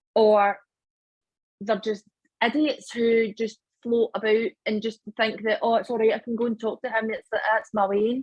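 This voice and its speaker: Speaking with a Scottish accent, a woman uses a fairly high, somewhat breathy voice in a monotone, flat intonation at a fairly slow pace, the sound dry and close with no echo. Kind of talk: casual podcast conversation.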